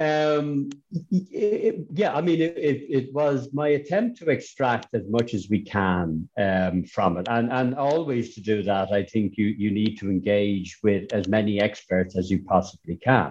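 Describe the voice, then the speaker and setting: This man speaks at a fairly slow pace in a fairly low pitch, with hardly any pauses. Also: lively intonation. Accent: Irish. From Ireland. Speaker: manuscript conservator. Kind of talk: interview. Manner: halting with repeated words.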